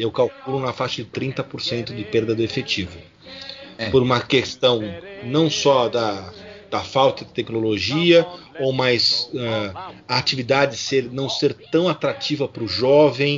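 Medium pitch from a man, a fairly slow pace, ordinary pitch variation, and noticeable background noise. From Brazil, São Paulo city. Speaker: scout group president. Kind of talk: interview.

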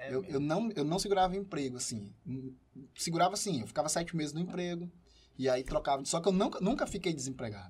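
A man talks at a very fast pace with lively intonation. His pitch is high. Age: 30s. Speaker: entrepreneur and professor. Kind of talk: casual chat.

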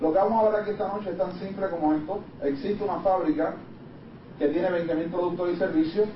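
A man talks very fast in a high voice, his intonation fairly even. The recording carries audible room echo and noticeable background noise. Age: 30s. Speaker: business presenter. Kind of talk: sales pitch. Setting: live meeting with audience.

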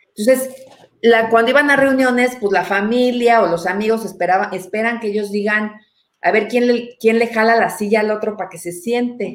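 A woman's fairly high voice in a Mexican accent, with fairly even intonation at a moderate pace. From Mexico. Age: 40s. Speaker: anthropologist. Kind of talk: casual chat.

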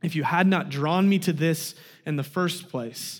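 In an American accent, a man talks with lively intonation. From Kansas. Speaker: guest preacher. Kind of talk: sermon. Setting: church.

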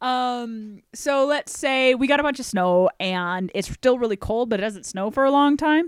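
A woman with an American accent, high-pitched and lively in intonation, at a moderate pace with hardly any pauses, in a dry, close sound with no echo on a very clean recording with a silent background. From US Pacific Northwest, Washington State (Olympic Peninsula). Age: 30s. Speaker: wine expert and beverage industry worker. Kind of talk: casual chat.

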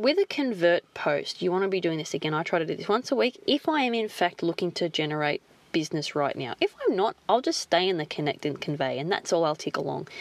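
A woman with an Australian accent talks very fast at a fairly low pitch, her pitch swinging very widely, in a dry, close sound with no echo. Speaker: podcast host, marketing coach. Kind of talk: solo podcast monologue.

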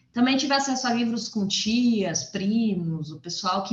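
Over noticeable background noise, a woman speaks at a moderate pace in a fairly high voice that swings very widely in pitch. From Brazil, Goiás (Formosa). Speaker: novelist and journalist. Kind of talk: interview.

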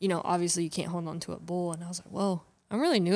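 A woman with an American accent talks at a very fast pace. Her fairly low voice stays monotone, with flat intonation. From North Carolina. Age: 20s. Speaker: bull rider. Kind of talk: casual chat.

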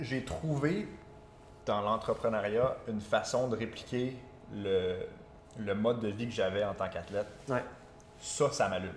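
The speaker goes at a fairly slow pace with long, frequent pauses and a somewhat breathy sound. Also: man, medium pitch for a man, ordinary pitch variation. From Quebec. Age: 20s. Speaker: entrepreneur and former golfer. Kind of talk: casual interview.

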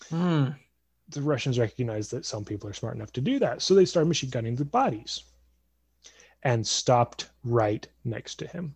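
A voice with ordinary pitch variation and a somewhat breathy quality speaks at a moderate pace. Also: man, medium pitch for a man. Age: 20s. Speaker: podcast host and mentor. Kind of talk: storytelling; casual interview chat.

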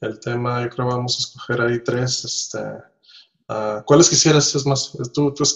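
A man has an ordinary speaking voice with a medium pitch. He goes at a moderate pace with fairly even intonation. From Nicaragua. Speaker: podcast host. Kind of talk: casual chat. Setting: home office, remote call.

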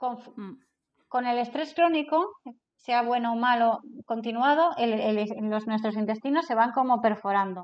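A woman with a high pitch and ordinary pitch variation speaks at a fairly slow pace. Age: 40s. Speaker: business consultant and trainer. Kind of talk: casual interview.

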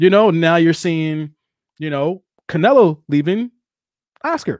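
A man with a high pitch speaks at a fairly slow pace, animated and lively in intonation, with long, frequent pauses. The recording is very clean, dry and close, with a silent background and no echo. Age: 40s. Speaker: boxing podcast host. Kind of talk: casual chat.

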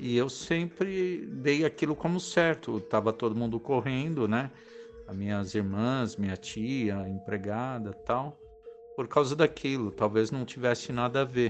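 A man's medium-pitched voice, lively in intonation and fairly slow, over music in the background. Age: 50s. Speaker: former air force radar serviceman. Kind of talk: recorded personal testimony.

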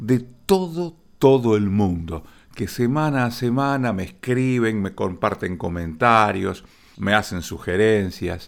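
Over a silent background in a very clean recording, a man speaks at a very slow pace with lively intonation. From Argentina, Rosario. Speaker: radio host. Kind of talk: radio broadcast narration.

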